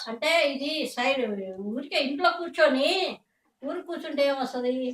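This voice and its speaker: The woman's voice sits high for a woman and shows ordinary pitch variation. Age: 60s. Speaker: toy painter. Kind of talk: interview answer.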